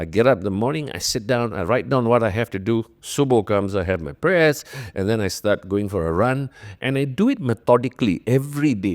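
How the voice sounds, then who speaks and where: A man with an ordinary speaking voice, medium pitch and lively intonation talks at a moderate pace on a very clean, silent recording with a dry, close sound and no echo. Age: 50s. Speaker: former radio executive and podcaster. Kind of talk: interview.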